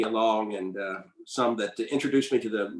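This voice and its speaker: A man speaks in a Southern US accent at a medium pitch. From US South, North Carolina. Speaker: composer and pianist. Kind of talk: interview conversation. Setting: video call webinar.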